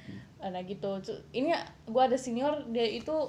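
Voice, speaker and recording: The voice carries ordinary pitch variation over noticeable background noise. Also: woman. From Qatar, Indonesian expat. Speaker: university graduate, housemate of host. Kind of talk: casual chat. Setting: home bedroom recording.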